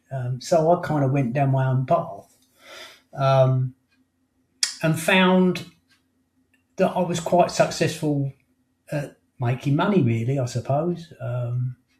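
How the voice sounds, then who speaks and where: With an English accent, a man speaks in a fairly high, somewhat breathy voice. He leaves long, frequent pauses. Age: 60s. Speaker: life coach and hypnotherapist. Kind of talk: interview. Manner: halting.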